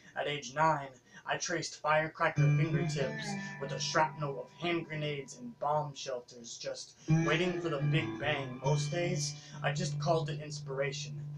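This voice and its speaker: Fairly high male pitch at a moderate pace, fairly even intonation from a man, with music in the background. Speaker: spoken word poet. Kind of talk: spoken word poetry performance.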